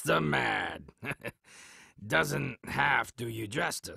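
Using a put-on character voice, a man speaks raspy and fairly low at a very slow pace with very wide pitch swings, in a dry, close sound with no echo. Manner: dry, sardonic, speaks of himself in third person.

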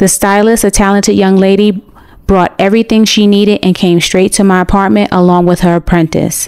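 A woman's dark, mellow tone at medium pitch, with an American accent, a moderate pace and fairly even intonation. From United States. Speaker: vlogger. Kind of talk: vlog narration.

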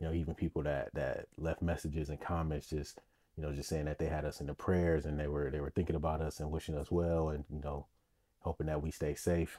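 Against a quiet background, a man speaks fairly quickly in a very deep, low voice with monotone, flat intonation. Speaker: podcast host. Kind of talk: casual podcast monologue. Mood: warm, grateful. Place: home room. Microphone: studio mic.

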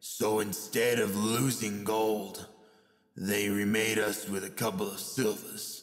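A man speaks in a put-on character voice, fairly low and flat in a monotone. His pace is fairly slow, with a slight echo. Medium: dub.

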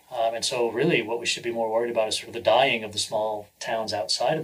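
A very fast, medium-pitched man's voice with an American accent over noticeable background noise. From New Hampshire, US. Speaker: venture capitalist and entrepreneur. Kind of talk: interview.

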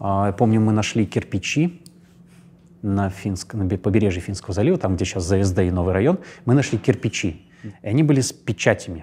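A man talks at a fairly quick pace with long, frequent pauses. His voice is somewhat breathy with a dark, mellow tone and ordinary pitch variation. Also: fairly low pitch for a man. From Russia, St. Petersburg. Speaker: actor. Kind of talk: interview. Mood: calm, reflective. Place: studio. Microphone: lapel.

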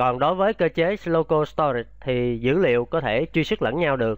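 Moving at a moderate pace, a man speaks with lively intonation. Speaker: web programming instructor. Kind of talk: tutorial. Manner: repetitive, halting at times.

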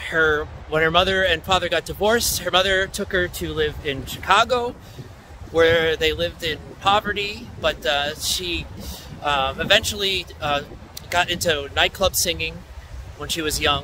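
A man talks at a moderate pace with long, frequent pauses. The sound is dry with no echo, and there is noticeable background noise. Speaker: local history vlogger. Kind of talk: casual historical narration. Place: open country. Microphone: phone near.

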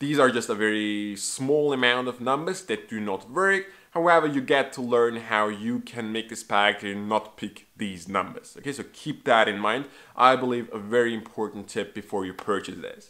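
With a non-native accent and a bright, sharp tone, a man talks at a moderate pace with hardly any pauses and ordinary pitch variation, over a quiet background. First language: not English. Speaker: magic trick reviewer. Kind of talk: product review. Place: home room.

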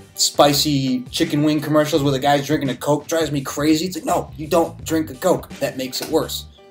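Faint music plays in the background as a man speaks at a moderate pace with fairly even intonation. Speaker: beer reviewer. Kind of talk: casual review vlog chat. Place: home room.

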